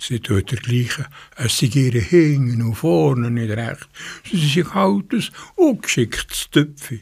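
A man talks at a very slow pace. His voice sounds somewhat breathy. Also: medium pitch for a man, lively intonation. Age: 80s+. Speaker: community radio host. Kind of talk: radio presentation, partly reading a fairy tale.

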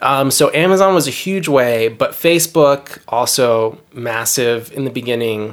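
In a normal speaking voice with an American accent, the speaker talks at a fairly slow pace with hardly any pauses and ordinary pitch variation. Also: man, medium pitch for a man. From New Jersey, then Miami from age 14. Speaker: novelist. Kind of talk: casual interview. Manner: casual, many filler words.

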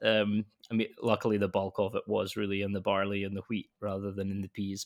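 A man with a Scottish accent at a fairly quick pace, on a very clean recording with a silent background and a dry, close sound with no echo. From west coast of Scotland. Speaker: malt company technical sales manager. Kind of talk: casual interview.

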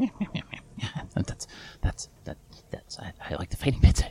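A man performs in a put-on character voice. He keeps a moderate pace. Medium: actual play. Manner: chummy, breezy, evasive; talkative, rambling.

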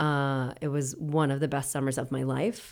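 A woman with an American accent speaks at a fairly slow pace in a dark, mellow tone. The recording is very clean, with a silent background. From US Northeast, Worcester, Massachusetts. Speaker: actor and theatre director. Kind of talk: casual interview. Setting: at her home.

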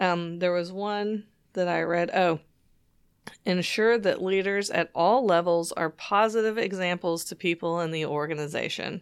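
In a very clean recording with a silent background, a woman with a plain, everyday voice speaks at a medium pitch and moderate pace, her intonation fairly even. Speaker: podcast co-host. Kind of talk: casual podcast chat.

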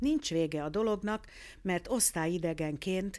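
A woman's fairly low, unremarkable speaking voice, fairly slow with ordinary pitch variation, in a very clean recording with a silent background. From Hungary. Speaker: ear, nose and throat doctor and phoniatrist. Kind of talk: interview.

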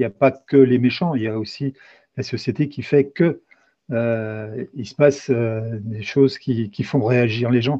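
Fairly slow delivery with ordinary pitch variation. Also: man, medium pitch for a man. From eastern France. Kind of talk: interview. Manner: halting.

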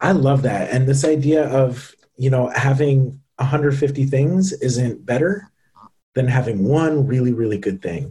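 A man with an American accent speaks at a fairly slow pace, his medium-pitched voice dark, mellow and somewhat breathy. His pitch variation is ordinary. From US Northeast, central Massachusetts. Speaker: ed-tech founder and CEO. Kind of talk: interview conversation.

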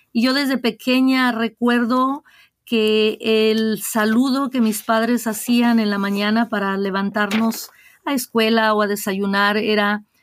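A woman with an ordinary speaking voice, fairly high pitch, fairly even intonation and a fairly slow pace. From Mexico, Guadalajara, Jalisco. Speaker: diocesan ministry director. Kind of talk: interview.

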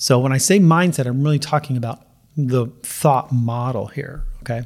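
He uses a normal speaking voice at a medium pitch. The man keeps a moderate pace. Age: 50s. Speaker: weight loss coach for runners. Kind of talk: podcast monologue. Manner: casual, conversational with fillers.

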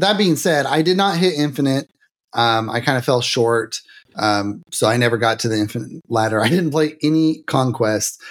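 A man with a normal speaking voice at medium pitch, lively intonation, very even loudness and a moderate pace, on a very clean recording with a silent background. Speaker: streamer and game player. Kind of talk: casual chat.

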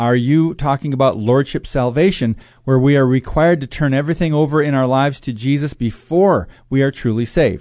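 Over a quiet background, an unremarkable speaking voice moves at a fairly quick pace with very even loudness and ordinary pitch variation. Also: man. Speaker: co-host reading listener mail.

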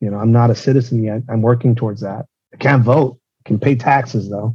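Somewhat breathy, a man speaks at medium pitch and a moderate pace. His tone is dark and mellow. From Mexico, Tijuana. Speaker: former police officer and security consultant. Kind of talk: interview.

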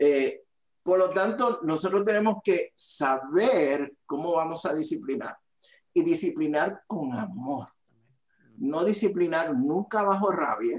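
A man speaks very slowly in a high voice, his pitch swinging very widely. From Puerto Rico, Aguadilla (northwest). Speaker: fatherhood ministry leader. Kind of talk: interview.

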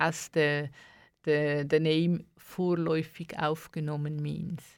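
A woman's fairly low voice at a very slow pace, fairly even in intonation, on a very clean recording with a silent background. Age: 60s. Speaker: asylum rights activist. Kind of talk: radio interview. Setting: radio studio. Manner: halting.

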